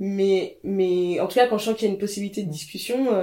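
Amid noticeable background noise, a woman talks at a very fast pace and medium pitch with ordinary pitch variation. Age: 30s. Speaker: fashion journalist. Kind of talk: casual chat. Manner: halting.

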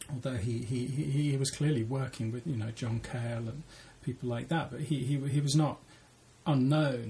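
A man talks at a moderate pace with a medium pitch and fairly even intonation. His voice is somewhat breathy. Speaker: novelist and creative writing lecturer. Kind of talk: casual interview. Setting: office. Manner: halting.

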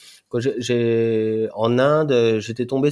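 Over a very clean recording with a silent background, a man with a dark, mellow tone speaks very slowly at a medium pitch with fairly even intonation. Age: 40s. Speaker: overland traveller on a world tour with family. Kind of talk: casual interview. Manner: halting, many hesitations and repetitions.

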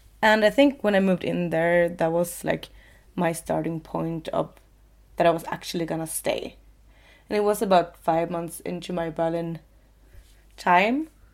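A woman with a Swedish accent on a very clean recording with a silent background. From Sweden, coastal city. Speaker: podcast co-host. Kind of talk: casual chat. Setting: sitting in a loft bed.

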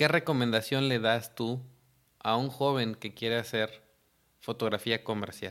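A man with a medium pitch and an ordinary speaking voice talks at a fairly slow pace with fairly even intonation in a very clean recording with a silent background. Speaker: podcast host and photographer. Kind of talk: interview.

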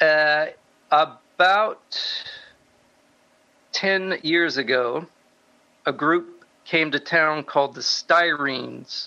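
At a very slow pace with long, frequent pauses, a man speaks in a bright, sharp tone at a fairly high pitch, with ordinary pitch variation and very even loudness. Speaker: musician. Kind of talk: interview.

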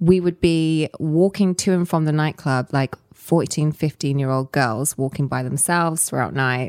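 At a moderate pace, a woman speaks with a very deep, low pitch and ordinary pitch variation, the sound dry and close with no echo. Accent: Southern English. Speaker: storytelling company founder. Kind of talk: casual interview chat.

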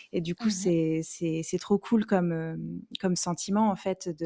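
A woman with a fairly low voice speaks fairly slowly and with fairly even intonation, in a very clean recording with a silent background and a dry, close sound with no echo. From southwestern France, Bordeaux. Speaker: romance novelist and hairdresser. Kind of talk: interview. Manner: hesitant, many fillers.

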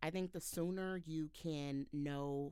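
An American accent with ordinary pitch variation in a very clean recording, silent background. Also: woman. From Texas, Houston. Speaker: communications manager. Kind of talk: podcast interview.

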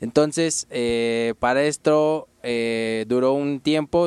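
Dry and close with no echo, the sound captures a man speaking. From Mexico City. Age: 20s. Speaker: graffiti artist and design student. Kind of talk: casual interview. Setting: radio studio booth.

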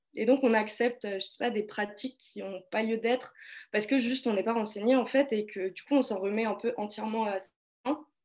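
A woman talks at a moderate pace with fairly even intonation. Her pitch is fairly high, and hers is an unremarkable speaking voice. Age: 20s. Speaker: political science student. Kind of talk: casual discussion.

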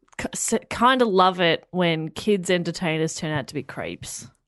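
A woman with an Australian accent speaks at a fairly slow pace in a medium-pitched voice with lively intonation. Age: 20s. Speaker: radio presenter and comedian. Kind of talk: casual chat.

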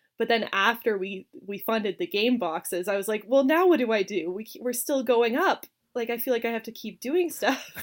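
Speaking in an unremarkable speaking voice, a woman with a fairly high pitch keeps a moderate pace, lively intonation, and hardly any pauses. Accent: Canadian. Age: 20s. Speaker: game designer. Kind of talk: interview.

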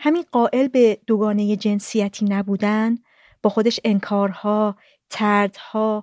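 A woman talks at a moderate pace in a flat monotone, recorded dry and close with no echo. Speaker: podcast host. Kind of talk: scripted narration. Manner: formal.

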